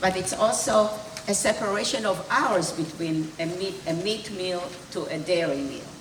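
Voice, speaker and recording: A woman's fairly low voice at a fairly slow pace, with audible room echo and noticeable background noise. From Hungary, later Israel. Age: 80s+. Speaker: Holocaust survivor. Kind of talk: testimony. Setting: school event with student audience.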